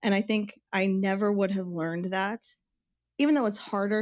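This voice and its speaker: This woman speaks at a medium pitch in an American accent. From US Southwest, Tucson, Arizona. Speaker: chef. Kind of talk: casual interview chat.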